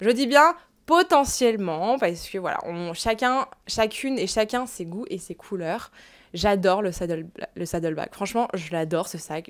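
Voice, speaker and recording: With lively intonation and big swings in loudness, a woman speaks at a fairly slow pace against a quiet background. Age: 20s. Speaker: fashion YouTuber and luxury reseller; fashion vlogger. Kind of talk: casual vlog to camera. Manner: casual with fillers. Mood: chatty, opinionated. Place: home room. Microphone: lapel.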